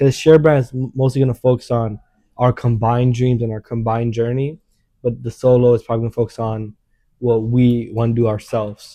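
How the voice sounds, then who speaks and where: A man's mumbling, monotone voice at medium pitch, very fast, with a dry, close sound and no echo. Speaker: YouTuber. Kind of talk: casual chat.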